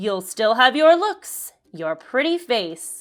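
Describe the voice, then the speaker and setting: On a very clean recording with a silent background, a woman does a put-on character voice, high in pitch, very slow, with very wide pitch swings. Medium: read story. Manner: sly, mock-sweet.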